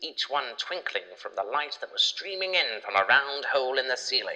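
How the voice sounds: A man's voice sits at medium pitch with a bright, sharp tone.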